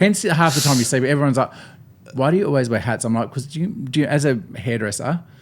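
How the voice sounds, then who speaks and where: At a very fast pace, a man with an Australian accent speaks with lively intonation and a fairly high pitch. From Tasmania, Australia. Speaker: bridal hairstylist. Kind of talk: casual chat.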